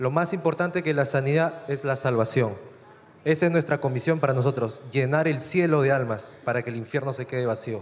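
A man speaks in a normal speaking voice at a fairly high pitch. He moves at a fairly quick pace with ordinary pitch variation. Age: 20s. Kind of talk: testimony.

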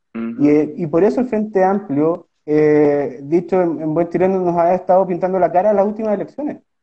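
In a Chilean accent, a man speaks at a fairly quick pace in a high pitch with lively intonation. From southern Chile, Osorno. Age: 30s. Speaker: lawyer and political candidate. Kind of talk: interview. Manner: halting.

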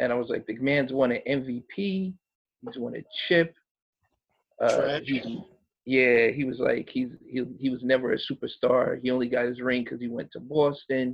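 In an ordinary speaking voice, a man of medium pitch talks at a moderate pace with fairly even intonation. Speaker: podcast co-host. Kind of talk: casual banter.

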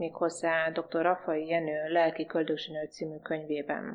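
Her intonation is monotone and flat, and this woman's pitch is fairly low. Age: 40s. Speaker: naturopath. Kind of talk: radio interview.

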